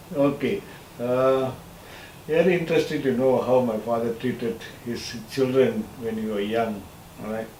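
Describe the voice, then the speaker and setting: A man speaks with long, frequent pauses. The audio has audible room echo and noticeable background noise. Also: medium pitch for a man, ordinary pitch variation, moderate pace. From Malaysia. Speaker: son of a scholar, interviewee. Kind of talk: interview, reminiscing. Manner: halting.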